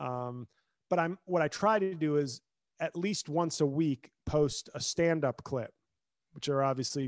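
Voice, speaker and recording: A man talks in a plain, everyday voice with ordinary pitch variation, the sound dry and close with no echo over a quiet background. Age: 40s. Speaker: comedian and attorney. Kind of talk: casual interview chat.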